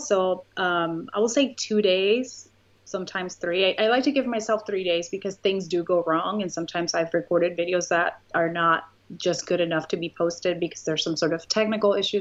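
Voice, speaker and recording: The speaker has a Spanish accent and keeps a moderate pace. The background is quiet. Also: woman. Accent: Spanish accent, noticeable. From Puerto Rico. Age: 30s. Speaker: YouTuber. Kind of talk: interview.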